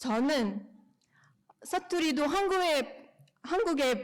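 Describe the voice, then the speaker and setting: A woman is speaking. Her intonation is lively. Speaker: speech contest participant. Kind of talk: prepared speech. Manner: halting, self-correcting.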